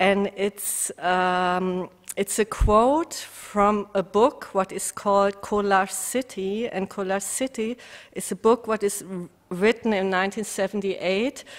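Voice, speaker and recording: Very slow in pace, a woman speaks at medium pitch with fairly even intonation. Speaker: visual artist. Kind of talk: artist talk. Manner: halting.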